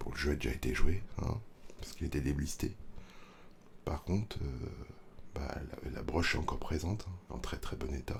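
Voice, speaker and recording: Soft-spoken and with vocal fry, the speaker keeps a moderate pace and lively intonation while taking long, frequent pauses. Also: man, very deep, low pitch for a man. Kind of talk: ASMR roleplay. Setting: reverb effect.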